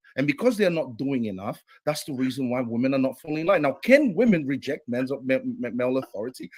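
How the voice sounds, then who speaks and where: Here is a man speaking. His pitch swings very widely. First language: not English. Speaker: debater. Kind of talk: heated debate. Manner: halting.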